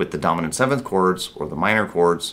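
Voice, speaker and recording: With vocal fry and a bright, sharp tone, a man speaks at a fairly quick pace in a very deep, low pitch. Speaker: guitar teacher. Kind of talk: tutorial. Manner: fast; casual.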